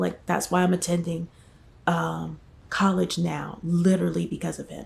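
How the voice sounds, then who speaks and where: A soft-spoken woman with an American accent. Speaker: vlogger. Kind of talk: casual vlog storytelling. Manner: hesitant, many fillers.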